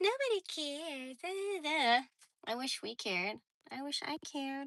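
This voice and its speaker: Squeaky and bright with a sharp tone, a woman's high-pitched voice swings very widely in pitch. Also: moderate pace, dry, close sound with no echo. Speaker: livestreamer. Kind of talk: casual chat.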